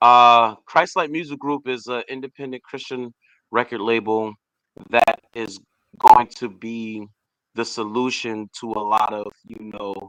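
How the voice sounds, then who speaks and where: A man with an unremarkable speaking voice talks at a fairly slow pace and medium pitch. His intonation is fairly even, but his loudness swings a lot. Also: dry, close sound with no echo. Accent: American. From Boston, Massachusetts. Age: 30s. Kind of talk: casual interview.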